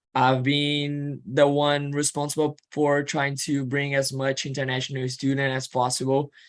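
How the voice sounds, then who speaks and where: A man with a Portuguese accent speaks at a fairly high pitch and a moderate pace. His intonation is monotone and flat, and the recording is very clean with a silent background. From Brazil. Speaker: student and admissions counselor. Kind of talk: informational presentation. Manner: halting.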